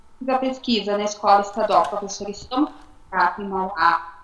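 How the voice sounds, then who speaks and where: Noticeable background noise can be heard as a woman talks. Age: 40s. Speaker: education student. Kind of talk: class presentation. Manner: halting.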